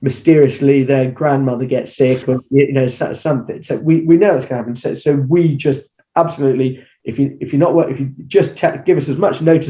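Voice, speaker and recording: Somewhat breathy and dark, mellow in tone, a man talks at a fairly quick pace with a fairly high pitch and fairly even intonation. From England. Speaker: agency founder and former actor. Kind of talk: interview answer. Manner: conversational, with hesitations.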